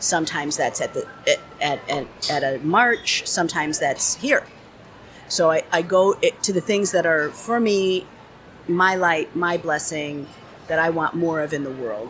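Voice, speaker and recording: A woman with an ordinary speaking voice talks at a fairly slow pace and a fairly low pitch, her intonation lively. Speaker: business strategist. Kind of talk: interview answer.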